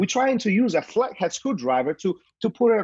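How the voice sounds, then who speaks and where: A man's high voice with a slight Polish accent and very wide pitch swings, at a moderate pace, in a dry, close sound with no echo. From Poland. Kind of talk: casual interview chat.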